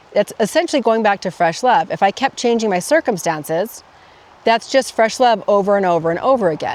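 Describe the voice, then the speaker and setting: Fairly quick, lively speech from a woman with a fairly high voice, amid noticeable background noise. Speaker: life coach podcaster. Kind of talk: casual vlog monologue. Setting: outdoors in a forest by a roadside. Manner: self-corrects, mumbling.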